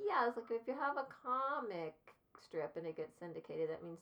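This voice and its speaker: A woman's voice with very wide pitch swings. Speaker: ukulele teacher. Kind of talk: casual chat. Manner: vocal fry.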